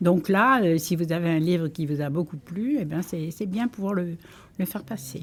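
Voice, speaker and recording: A woman's fairly low voice comes out somewhat breathy. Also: ordinary pitch variation, moderate pace. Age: 80s+. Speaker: library user, retiree. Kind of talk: interview testimony. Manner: hesitant.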